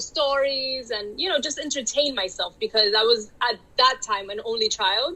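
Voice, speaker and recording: Speaking at a moderate pace in a Miami accent, a woman has a high pitch over noticeable background noise. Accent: Cuban-sounding Miami. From Miami, Florida (Dominican family). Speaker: romance author. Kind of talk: interview. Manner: casual, many filler words.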